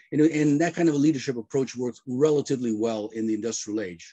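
The man's tone is dark and mellow, and the background is quiet. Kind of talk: interview answer. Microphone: video call.

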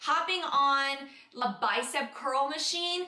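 A woman speaks. Music plays clearly in the background. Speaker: fitness coach. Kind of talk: tutorial vlog talk. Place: home room.

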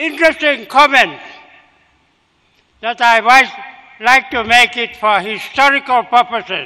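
Against a quiet background, a man speaks in a raised, projected voice at an extremely high pitch with ordinary pitch variation, fairly slow and with long, frequent pauses. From Papua New Guinea, Oro province; Papua New Guinea. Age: 80s+. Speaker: retired politician. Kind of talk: memorial speech. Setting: memorial gathering. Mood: reflective, respectful. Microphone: podium.

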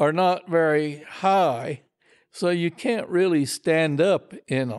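A man's high-pitched voice, very slow in pace, with ordinary pitch variation. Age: 80s+. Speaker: retired falconer. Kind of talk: interview answer. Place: home room.

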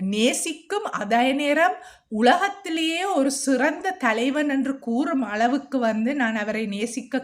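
A woman talks with a Jaffna accent. Her pitch swings very widely. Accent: Jaffna Sri Lankan Tamil. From Sri Lanka, Jaffna. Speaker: video blogger sharing meditation experience. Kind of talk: personal testimony monologue.

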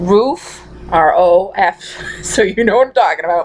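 This is a woman speaking. She has a strong Massachusetts accent. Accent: thick Massachusetts. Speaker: vlogger. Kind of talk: casual talk to camera. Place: home room. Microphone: webcam.

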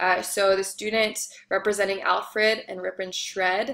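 Keeping her intonation fairly even, a woman speaks at a moderate pace. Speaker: instructor. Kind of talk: lecture. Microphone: webcam.

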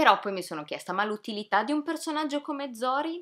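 Fairly quick and lively in intonation, a woman speaks with a bright, sharp tone. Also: quiet background. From Italy. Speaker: video reviewer. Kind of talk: casual vlog review rant. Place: home room.

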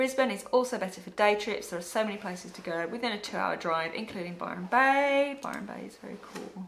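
A woman speaks at a very fast pace with hardly any pauses, big swings in loudness, and ordinary pitch variation, with light background noise behind her. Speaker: travel and migration blogger; migration blogger. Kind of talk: reading aloud viewer comments. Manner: casual, laughs often. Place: home room.

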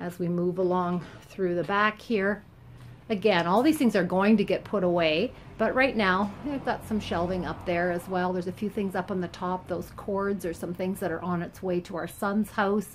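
A woman at a moderate pace, fairly even in intonation, with light background noise. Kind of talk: tutorial walkthrough. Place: garage. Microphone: phone near.

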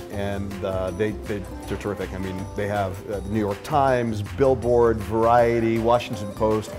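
A man at a moderate pace with a fairly low pitch, clear music in the background. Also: ordinary pitch variation. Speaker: guest. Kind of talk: interview answer. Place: bar.

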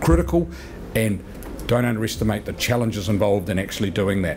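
A man with a New Zealand accent, fairly low in pitch, very fast, with very wide pitch swings over light background noise. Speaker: sales and marketing executive; sales. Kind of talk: seminar presentation. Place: meeting room. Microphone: podium.

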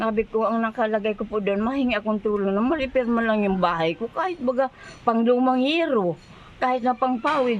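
Over noticeable background noise, a woman talks fairly quickly in a fairly high pitch with ordinary pitch variation. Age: 70s. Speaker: elderly villager in need. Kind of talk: interview testimony. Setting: outdoors by highway.

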